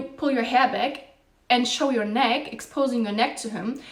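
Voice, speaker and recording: A woman with a high pitch speaks in an animated tone. Noticeable background noise and audible room echo fill the recording. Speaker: dating advice youtuber. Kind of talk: monologue to camera.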